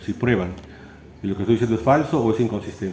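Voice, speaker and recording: There is audible room echo around this man. His voice sits at a medium pitch. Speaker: philosophy lecturer. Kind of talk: lecture. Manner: fast, with stumbles and repetitions.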